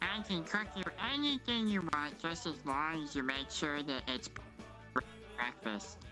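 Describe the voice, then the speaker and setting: A put-on character voice at a middle pitch moves at a moderate pace with long, frequent pauses. Clear music plays in the background. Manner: playful, showing how he sounds.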